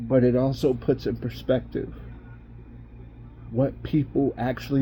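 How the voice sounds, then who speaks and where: A man at a moderate pace. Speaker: estranged father. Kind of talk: personal video message.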